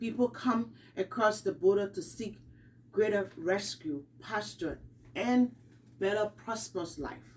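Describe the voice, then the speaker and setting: Vocal fry runs through a woman's fairly slow speech. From Liberia. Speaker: student. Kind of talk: class speech. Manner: halting.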